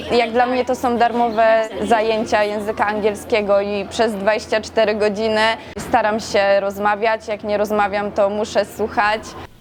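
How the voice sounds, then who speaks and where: A woman with a fairly high pitch speaks at a moderate pace in a flat monotone, hardly pausing, as music plays in the background. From Poland, Inowrocław. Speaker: student, camp staff. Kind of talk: interview testimony.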